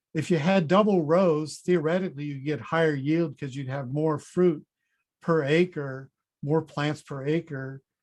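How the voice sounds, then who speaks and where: A man with an unremarkable speaking voice, a fairly high pitch, fairly even intonation and a fairly slow pace, set against a quiet background. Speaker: fruit breeding researcher, professor. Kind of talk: conference presentation. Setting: online conference session.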